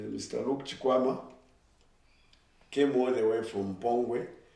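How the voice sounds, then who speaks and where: Noticeable background noise surrounds a man as he speaks, with audible room echo on his voice. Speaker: former student, alumni group chair. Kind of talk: casual interview.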